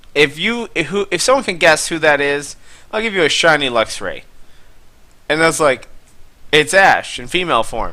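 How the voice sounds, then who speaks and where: A man speaks at a moderate pace with lively intonation and a fairly high pitch, his tone bright and sharp. Long, frequent pauses break up his speech. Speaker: gaming YouTuber. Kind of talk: gameplay commentary. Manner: soft-spoken.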